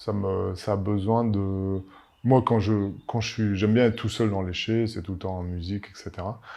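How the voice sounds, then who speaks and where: In a French accent, a man speaks at a fairly low pitch and a moderate pace with monotone, flat intonation. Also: big swings in loudness. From Paris, France. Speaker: winemaker. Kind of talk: interview. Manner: halting, many fillers and repetitions.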